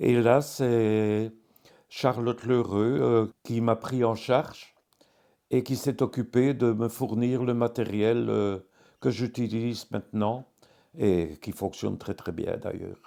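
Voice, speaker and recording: Speaking at a very slow pace, a man has a dark, mellow tone at a medium pitch. His intonation is fairly even, on a very clean recording with a silent background. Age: 70s. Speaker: care home resident with tremor. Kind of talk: testimony. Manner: halting, many hesitations.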